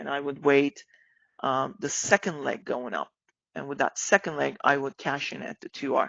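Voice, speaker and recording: A woman with vocal fry and a very deep, low pitch. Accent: non-native. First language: not English. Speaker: trading educator. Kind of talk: live-streamed trading lesson. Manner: casual, many fillers.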